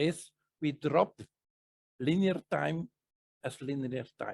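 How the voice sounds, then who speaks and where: A man with a non-native accent speaks very slowly in a fairly high pitch with lively intonation, the sound dry and close with no echo. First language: not English. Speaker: spiritual teacher / psychic presenter. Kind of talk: casual Q&A discussion. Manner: halting, with fillers and self-corrections.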